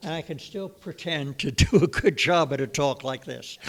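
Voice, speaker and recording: A man's fairly high voice with vocal fry, ordinary pitch variation and a fairly slow pace. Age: 90s. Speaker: lay speaker at a church service. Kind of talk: talk to a congregation. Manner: halting.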